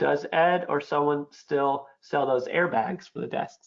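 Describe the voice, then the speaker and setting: The pitch rises and falls in an ordinary way. It is an unremarkable speaking voice. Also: man. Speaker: webinar host. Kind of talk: webinar Q&A moderation. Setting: online webinar.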